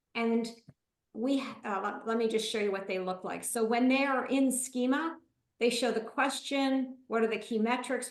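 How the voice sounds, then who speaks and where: Audible room echo surrounds a woman with a high pitch. She speaks at a moderate pace with fairly even intonation. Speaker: marketing consultant and presenter. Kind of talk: webinar presentation; Q&A answer.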